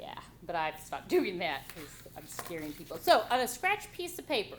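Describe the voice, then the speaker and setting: A woman talks loudly and animatedly at a moderate pace, her fairly high voice swinging very widely in pitch, with audible room echo and noticeable background noise. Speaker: college writing instructor. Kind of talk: classroom lecture. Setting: classroom with students.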